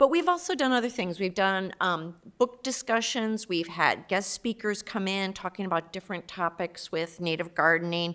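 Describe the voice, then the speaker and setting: On a very clean recording with a silent background, a woman talks loudly in a bright, sharp tone. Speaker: community volunteer, native gardening group. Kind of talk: public meeting presentation.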